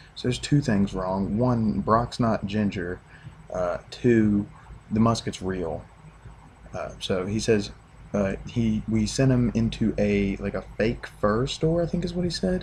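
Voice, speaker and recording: The speaker is a man with a West Virginia accent. He talks at a fairly slow pace. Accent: West Virginian. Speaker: sports fan vlogger. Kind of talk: casual video rant.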